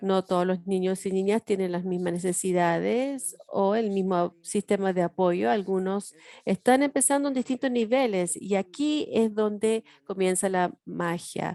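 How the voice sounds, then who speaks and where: A woman with an English accent, dark and mellow in tone, at a fairly slow pace with hardly any pauses and ordinary pitch variation, in a dry, close sound with no echo. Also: medium pitch for a woman. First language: English (speaking Spanish). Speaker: education professor. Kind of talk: workshop lecture.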